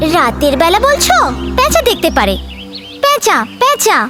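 Over loud background music, a cartoonish character voice at an extremely high pitch speaks at a fairly slow pace. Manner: friendly, encouraging.

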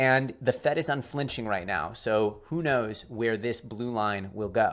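A man speaks at a medium tempo, his pitch varying in an ordinary way, with nothing audible behind him. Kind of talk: commentary. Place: home room.

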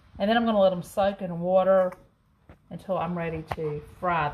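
A woman speaks at a moderate pace in a fairly low pitch, with light background noise. She has a plain, everyday voice. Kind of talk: cooking tutorial chat. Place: kitchen. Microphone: phone near.

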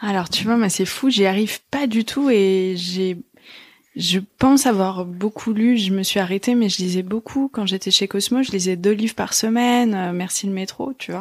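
In a very clean recording with a silent background, a woman with an unremarkable speaking voice talks at medium pitch and a moderate pace, with ordinary pitch variation. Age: 30s. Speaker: podcast host. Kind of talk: casual interview.

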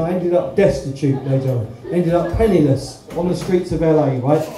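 A man speaks at a very fast pace in a high pitch, with ordinary pitch variation. Light background noise and audible room echo are present. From East Anglia, Suffolk (Ipswich). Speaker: stand-up comedian. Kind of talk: stand-up. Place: stage.

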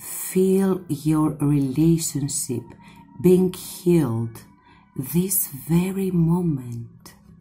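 With music in the background, the speaker talks at a very slow pace with ordinary pitch variation. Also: woman, very deep, low pitch for a woman. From Greece. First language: Greek. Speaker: tarot reader. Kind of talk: tarot reading to camera. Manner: warm, affectionate. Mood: warm, soothing. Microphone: phone near.

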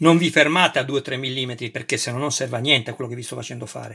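The speech comes at a fairly quick pace, with ordinary pitch variation and big swings in loudness. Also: man. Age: 50s. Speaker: YouTuber model kit reviewer. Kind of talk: unboxing tutorial. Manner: animated. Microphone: phone near.

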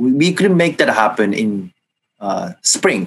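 A man speaks with a Japanese accent, his pitch making very wide swings. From Japan, Kanagawa. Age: 20s. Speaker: former high school kendo athlete, finance worker; interview guest. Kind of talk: interview. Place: home room. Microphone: video call.

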